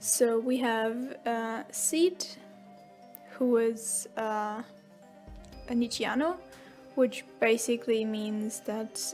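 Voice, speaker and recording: Music plays in the background. A woman speaks at a very slow pace with ordinary pitch variation. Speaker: writer. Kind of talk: casual rambling voiceover. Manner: rambling, hesitant.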